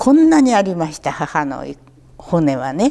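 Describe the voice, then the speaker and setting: Her pitch swinging very widely, a woman speaks at a fairly slow pace in a dark, mellow tone. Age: 80s. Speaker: war survivor storyteller; war memory storyteller. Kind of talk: testimony; oral history interview answer. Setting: local museum talk event. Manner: conversational, with frequent fillers. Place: hall.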